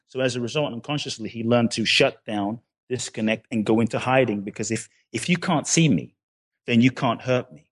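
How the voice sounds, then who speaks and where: A man with a Ghanaian accent at medium pitch, fairly quick pace and ordinary pitch variation, in a dry, close sound with no echo and a quiet background. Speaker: personal development author. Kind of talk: interview.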